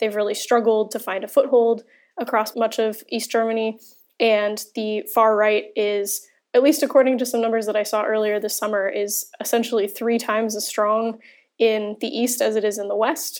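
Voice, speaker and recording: A woman with a plain, everyday voice speaks at a moderate pace and a fairly high pitch. The recording is very clean, with a silent background. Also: fairly even intonation. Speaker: journalist covering Germany. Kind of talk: panel discussion.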